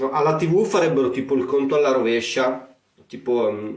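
The speaker is a man. He moves at a fairly quick pace with ordinary pitch variation. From Romagna, Italy. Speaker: podcaster. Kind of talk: comic monologue. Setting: attic room at home. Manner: casual.

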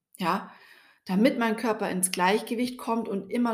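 Fairly slow and somewhat breathy, a woman talks at a medium pitch. Her pitch varies in an ordinary way. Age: 40s. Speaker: podcast host and skin health coach. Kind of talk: personal storytelling monologue.

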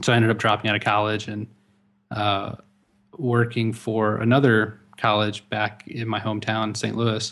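Monotone and flat, a man speaks at a moderate pace. His pitch is medium. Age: 20s. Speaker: web designer and agency partner. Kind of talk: casual chat.

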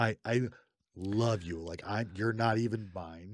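A man's unremarkable speaking voice, fairly slow in pace, with fairly even intonation. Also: very clean recording, silent background. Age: 30s. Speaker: podcast co-host. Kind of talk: casual chat.

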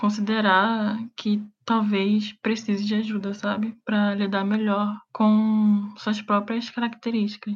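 In a very clean recording with a silent background, a woman talks in a fairly high, somewhat breathy voice with monotone, flat intonation. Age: 20s. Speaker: guest. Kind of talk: casual chat.

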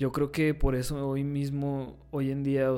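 A man's dark, mellow voice at a medium pitch and a fairly slow pace. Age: 20s. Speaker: podcast co-host, political scientist. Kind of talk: casual chat.

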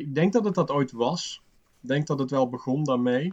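Somewhat breathy, a man speaks at a fairly high pitch and a moderate pace. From Limburg, Netherlands. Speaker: design teacher. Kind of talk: casual chat.

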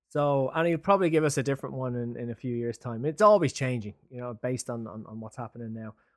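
A man with an Irish accent talks at a very fast pace, with hardly any pauses and ordinary pitch variation. His loudness swings widely in a very clean recording with a silent background. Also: medium pitch for a man. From Ireland. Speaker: podcast co-host, HR tech advisory founder. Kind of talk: interview.

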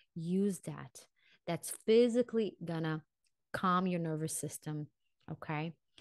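Against a quiet background, with a dry, close sound and no echo, a woman with a non-native accent and a fairly low pitch talks in an animated tone, leaving long, frequent pauses. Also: ordinary pitch variation, fairly slow pace. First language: not English. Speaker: vocal and mindset coach. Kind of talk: solo podcast talk.

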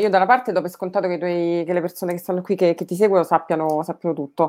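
A woman speaks very fast at a medium pitch with ordinary pitch variation, on a very clean recording with a silent background. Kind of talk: casual interview chat. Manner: halting, hesitant.

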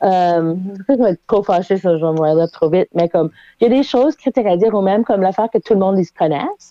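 A woman's very fast speech with lively intonation. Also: medium pitch for a woman. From Halifax, Nova Scotia. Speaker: playwright. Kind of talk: casual chat. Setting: remote call from bedroom.

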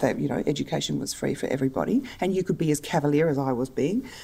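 The speaker has an Australian accent, a dark, mellow tone, vocal fry and lively intonation. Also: woman. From Australia, Adelaide. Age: 50s. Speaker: book publisher. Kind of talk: interview.

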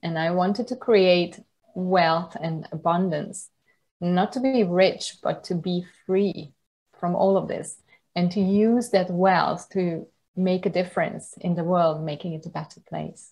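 A woman with a Hungarian accent talks at a fairly slow pace. Her medium-pitched voice keeps fairly even intonation. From Hungary (countryside). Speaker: yoga teacher. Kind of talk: interview.

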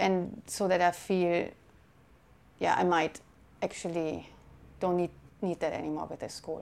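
With a German accent, a woman speaks in a fairly low, monotone voice at a fairly slow pace, leaving long, frequent pauses. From Germany. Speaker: documentary photographer. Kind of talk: interview. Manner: hesitant, with fillers.

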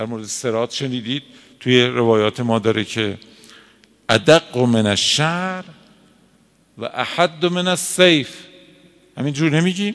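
A man of medium pitch talks at a fairly slow pace, leaving long, frequent pauses. His intonation is lively. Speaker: cleric teaching a seminary lesson. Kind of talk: lecture. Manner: conversational, colloquial.

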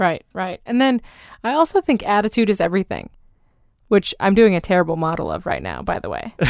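In a plain, everyday voice, a woman speaks fairly quickly at a medium pitch with lively intonation, against a quiet background with a dry, close sound and no echo. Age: 30s. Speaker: podcast host and small business owner. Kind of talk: casual chat. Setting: home closet studio.

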